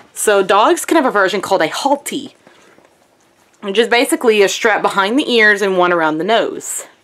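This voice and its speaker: A woman with an American accent speaks at a fairly quick pace with lively intonation. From US South. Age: 20s. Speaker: vlogger. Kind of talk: casual vlog. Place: home room. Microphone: phone near.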